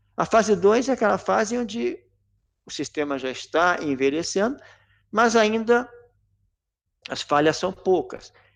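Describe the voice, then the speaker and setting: His pitch swings very widely. The man speaks at a fairly slow pace. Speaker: corrosion and maintenance engineer. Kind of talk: technical lecture in a live webinar. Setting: online live stream. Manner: clear, well spaced delivery; frequent stumbles and swallowed word endings.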